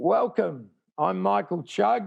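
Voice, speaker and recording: A man with an Australian accent at a very slow pace, with very wide pitch swings. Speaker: tour promoter. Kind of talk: interview. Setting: video call from home.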